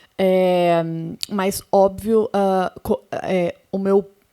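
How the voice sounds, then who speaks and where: The voice stays monotone, with flat intonation and a dark, mellow tone. The sound is dry and close, with no echo. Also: woman. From interior of Paraná, Brazil. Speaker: sound editor and professor. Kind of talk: panel talk.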